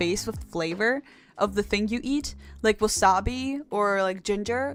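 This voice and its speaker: In a very clean recording with a silent background, a woman with a non-native accent talks at a moderate pace. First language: not English. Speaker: vtuber streamer learning Live2D rigging. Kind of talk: casual live-stream chat reading viewer comments. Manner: halting, repeats words.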